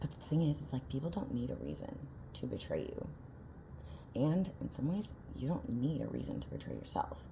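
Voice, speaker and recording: Speaking at a fairly quick pace yet with long, frequent pauses, a woman is heard amid noticeable background noise and audible room echo. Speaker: vlogger. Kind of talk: casual vlog monologue. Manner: fast; halting, many filler words.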